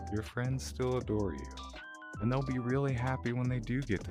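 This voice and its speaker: Over background music, a man with a warm tone and medium pitch speaks with very wide pitch swings. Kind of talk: casual vlog talk to camera. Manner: stumbling, stuttering, repetitive; warm, reassuring.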